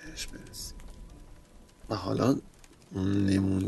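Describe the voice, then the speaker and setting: A man speaks at a fairly low pitch. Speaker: podcast host. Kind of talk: guided visualization monologue. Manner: slow, soft.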